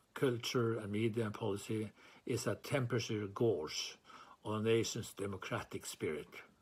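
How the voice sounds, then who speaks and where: In a very clean recording with a silent background, a man of medium pitch speaks with a Norwegian accent. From Norway. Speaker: chair of a writers' freedom organisation. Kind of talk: formal speech. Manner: formal.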